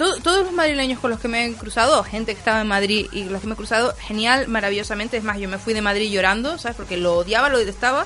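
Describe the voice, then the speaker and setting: A woman talks at a very fast pace with hardly any pauses and a fairly high pitch. Her pitch variation is ordinary, and background noise is noticeable. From Canary Islands, Lanzarote. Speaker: youtuber. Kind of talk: casual chat.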